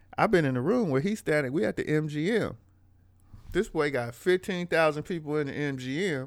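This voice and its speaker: A man with an American accent has an unremarkable speaking voice and lively intonation at a moderate pace. The recording is very clean, with a silent background. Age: 40s. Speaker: rapper and financial educator. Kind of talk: casual interview conversation.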